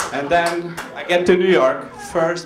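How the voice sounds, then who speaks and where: A man's fairly high voice at a very slow pace, amid noticeable background noise and audible room echo. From Norway, Albanian family. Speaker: comedian. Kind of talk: stand-up. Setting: stage with audience.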